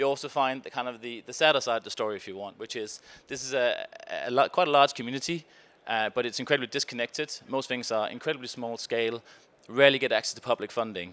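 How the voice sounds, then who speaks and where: Speaking very fast with a Danish accent, a man keeps a medium pitch and fairly even intonation. His loudness swings a lot. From Denmark. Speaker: conference panelist, innovation foundation researcher. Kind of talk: conference presentation. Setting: stage with audience.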